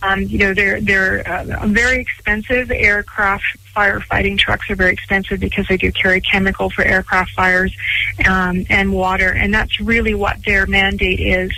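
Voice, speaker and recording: Over noticeable background noise, a woman speaks at a moderate pace with very even loudness and a monotone, flat intonation. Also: medium pitch for a woman. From Canada, Vancouver Island. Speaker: airport executive. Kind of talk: radio interview.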